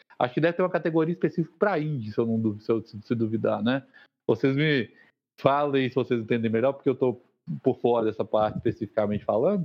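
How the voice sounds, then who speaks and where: The delivery comes at a very fast pace. The intonation is lively. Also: man, medium pitch for a man. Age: 30s. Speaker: podcast co-host, chemist. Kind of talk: casual chat.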